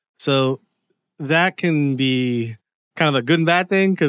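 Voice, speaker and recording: A man with a normal speaking voice and ordinary pitch variation, recorded dry and close with no echo. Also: very clean recording, silent background. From Windsor, Ontario, Canada. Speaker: TV screenwriter. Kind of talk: interview. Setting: at home.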